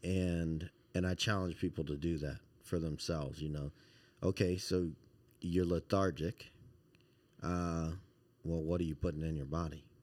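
With an American accent, a man speaks in a very deep, low voice at a moderate pace, his intonation monotone and flat, with long, frequent pauses. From Baton Rouge, Louisiana, later Washington DC area. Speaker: yoga teacher and former football coach. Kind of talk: casual interview chat.

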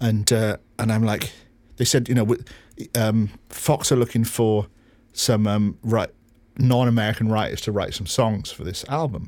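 A man in a Welsh accent, with fairly even intonation and long, frequent pauses. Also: medium pitch for a man, moderate pace. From Wales. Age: 50s. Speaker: record producer. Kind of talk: interview.

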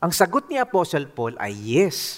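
On a very clean recording with a silent background, the speaker moves at a very slow pace with very wide pitch swings. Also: man. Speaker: pastor. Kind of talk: sermon.

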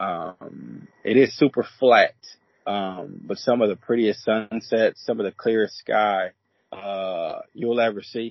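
A man speaks at a very slow pace in a relaxed tone. His pitch sits in the medium range. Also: ordinary pitch variation. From North Dakota. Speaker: racehorse trainer. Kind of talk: interview. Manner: relaxed, frequent filler words.

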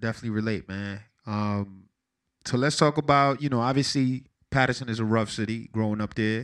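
With an American accent, a man talks at a fairly quick pace and a medium pitch. His intonation stays fairly even over a quiet background. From Paterson, New Jersey (east side). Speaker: podcast host. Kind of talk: casual interview.

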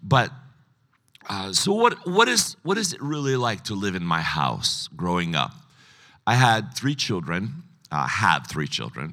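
On a very clean recording with a silent background, a man talks at a fairly slow pace, leaving long, frequent pauses. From United States, child of immigrants. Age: 60s. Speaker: pastor. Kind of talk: sermon. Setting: stage with audience. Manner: casual, humorous.

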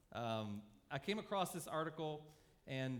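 A man's voice carries audible room echo. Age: 40s. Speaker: pastor. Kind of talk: sermon.

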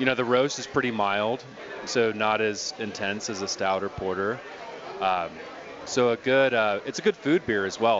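A man's medium-pitched voice with an American accent and ordinary pitch variation, over noticeable background noise. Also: moderate pace. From Colorado. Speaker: brewery representative. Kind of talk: casual chat. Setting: studio.

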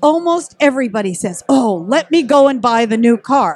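High-pitched woman at a moderate pace, with lively intonation. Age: 60s. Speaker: ballet teacher and editor. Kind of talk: casual interview.

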